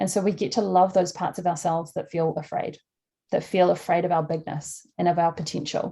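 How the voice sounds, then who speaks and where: A woman with a fairly low pitch and a dark, mellow tone speaks at a fairly quick pace, somewhat breathy, her intonation fairly even. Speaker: life coach. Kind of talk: online workshop talk. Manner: fast.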